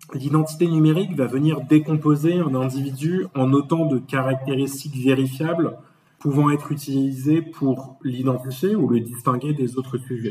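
An ordinary speaking voice from a man, fairly high in pitch, with fairly even intonation and a moderate pace. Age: 30s. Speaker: management consultant. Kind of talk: interview.

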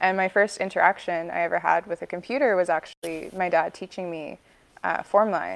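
With a Canadian accent and an unremarkable speaking voice, the speaker talks at a fairly quick pace with fairly even intonation, in a dry, close sound with no echo and a quiet background. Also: woman, fairly low pitch for a woman. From Vancouver, British Columbia, Canada. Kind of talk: interview conversation.

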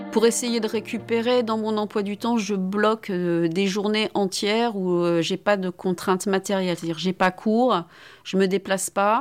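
A woman with a plain, everyday voice, medium in pitch, fairly even in intonation, at a fairly slow pace. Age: 50s. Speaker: philosophy professor. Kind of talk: testimony.

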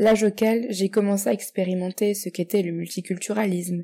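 A woman's dark, mellow tone at a fairly quick pace with fairly even intonation, on a very clean recording with a silent background. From Morocco and France. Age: 20s. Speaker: guest writer. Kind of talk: reading aloud.

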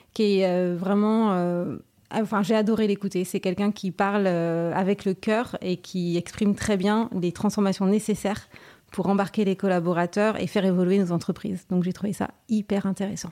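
With a dark, mellow tone, a woman speaks in a flat monotone at very even loudness. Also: medium pitch for a woman, moderate pace. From France, Brittany (Saint-Malo). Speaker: company president. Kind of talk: interview.

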